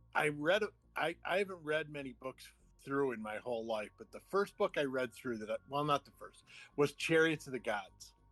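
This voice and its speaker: A man's voice sits fairly high in pitch while music plays behind him. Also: lively intonation, moderate pace, big swings in loudness, dry, close sound with no echo. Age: 60s. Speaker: podcast guest, UFO enthusiast. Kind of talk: casual chat.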